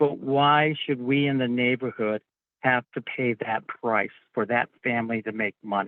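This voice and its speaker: Using a normal speaking voice, a man at medium pitch talks at a fairly slow pace with fairly even intonation. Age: 60s. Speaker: public hearing participant. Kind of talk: public comment at hearing. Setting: phone call.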